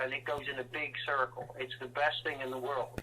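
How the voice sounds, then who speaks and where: The speaker talks at a moderate pace in a West Country accent. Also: man. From west of England, Welsh borders. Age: 60s. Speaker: rock drummer. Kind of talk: interview.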